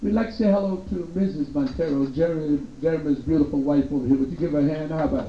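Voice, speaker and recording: With audible room echo and noticeable background noise, a man speaks at a very fast pace in a high pitch. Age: 60s. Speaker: nightclub entertainer. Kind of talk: stand-up. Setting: stage with audience. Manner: animated.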